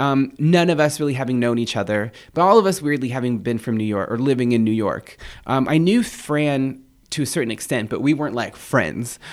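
A man with an American accent speaks in an animated tone at a fairly quick pace, medium in pitch, with lively intonation. The recording is very clean and the background silent. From Kumeyaay reservation east of San Diego, California. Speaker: poet. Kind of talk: interview conversation. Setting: studio. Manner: animated, casual, laughs often.

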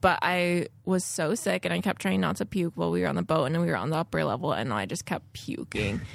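A woman with a very deep, low voice and vocal fry talks very fast with hardly any pauses, her pitch swinging very widely. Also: very clean recording, silent background. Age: 30s. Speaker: fashion business owner. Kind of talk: casual chat.

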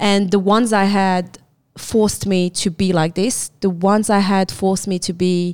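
A woman with a French accent, fairly slow and fairly even in intonation, in a very clean recording over a silent background. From France and Morocco. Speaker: martial arts coach. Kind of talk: casual interview chat.

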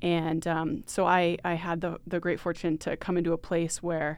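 On a very clean recording with a silent background, a woman with an American accent talks in an ordinary speaking voice at a fairly low pitch. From Maine, US. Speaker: nonprofit development director. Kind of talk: casual interview. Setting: studio.

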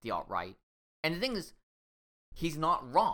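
Talking at a fairly quick pace, the man has an American accent. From Washington State, US. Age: 30s. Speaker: podcast co-host. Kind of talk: casual chat.

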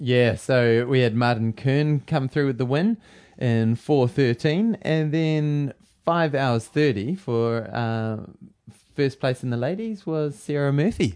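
A man with a New Zealand accent, very slow pace and lively intonation. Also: medium pitch for a man. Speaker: running podcast co-host and running coach. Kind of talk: casual chat.

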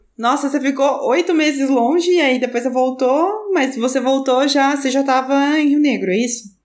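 Audible room echo surrounds a woman with a high pitch and ordinary pitch variation. She keeps a moderate pace with hardly any pauses and very even loudness. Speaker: podcast host. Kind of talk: casual interview chat. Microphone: new microphone.

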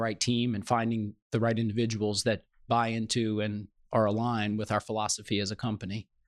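At a moderate pace, the speaker talks in a flat monotone, in a very clean, dry, close recording with a silent background and no echo. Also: man. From New Orleans, Louisiana. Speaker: construction company CEO. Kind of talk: interview.

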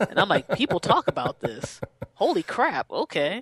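A woman speaks with an American accent and a fairly high pitch, touched by vocal fry. The sound is dry and close, with no echo. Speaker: podcaster and DJ. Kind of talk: interview chat.

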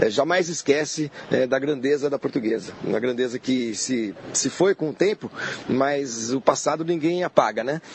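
A man's fairly high voice moves at a moderate pace against noticeable background noise. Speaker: football fan and commentator. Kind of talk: casual chat.

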